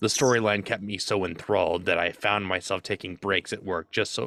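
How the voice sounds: A man's gruff, put-on character voice, very deep and low, at a moderate pace, on a very clean recording with a silent background.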